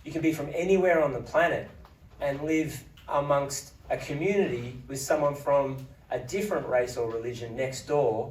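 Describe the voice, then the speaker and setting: Amid noticeable background noise and audible room echo, a man with an Australian accent speaks at a moderate pace in a fairly high pitch. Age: 40s. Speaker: politician. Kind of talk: speech at book launch. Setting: parliament house event with audience.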